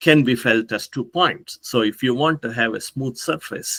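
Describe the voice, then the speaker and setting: A man's bright, sharp voice with ordinary pitch variation, dry and close with no echo. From India. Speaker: professor. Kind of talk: conference talk. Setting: pre-recorded remote talk. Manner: hesitant, with frequent fillers.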